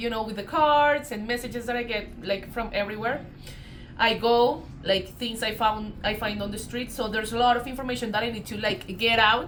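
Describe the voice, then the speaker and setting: The speaker has a Colombian accent and a moderate pace. Audible room echo surrounds the voice. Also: woman. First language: Spanish. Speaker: tarot reader. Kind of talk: casual spiritual vlog talk. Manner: hesitant, many fillers.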